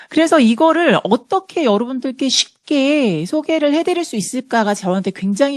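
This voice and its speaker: A woman at a moderate pace with very wide pitch swings, a dry, close sound with no echo and a quiet background. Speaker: health product lecturer. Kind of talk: lecture.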